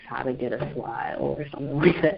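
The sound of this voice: A woman with an American accent, extremely low in pitch, with vocal fry, a slightly husky edge and a fairly quick pace. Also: ordinary pitch variation.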